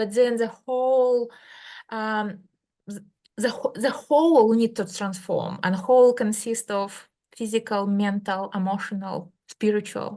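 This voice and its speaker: Delivered at a very slow pace with fairly even intonation, the speech carries a Russian accent. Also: woman. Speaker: medical doctor and healer. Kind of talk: interview.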